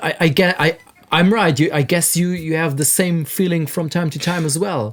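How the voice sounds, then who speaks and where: Against noticeable background noise, a man with a German accent talks at a moderate pace in a high pitch with ordinary variation. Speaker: music producer and audio engineer. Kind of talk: casual podcast chat. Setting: recording studio.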